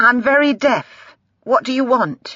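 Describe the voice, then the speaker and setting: Put on as a character, this female-sounding voice is high in pitch and raspy. It moves at a moderate pace. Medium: read story.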